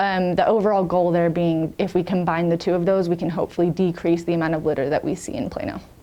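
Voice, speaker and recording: A woman with an American accent talks very fast with hardly any pauses and fairly even intonation. Noticeable background noise is present. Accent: American accent when talking to Americans. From England, near Sheffield. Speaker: city litter coordinator. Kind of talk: podcast interview. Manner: frequent um fillers.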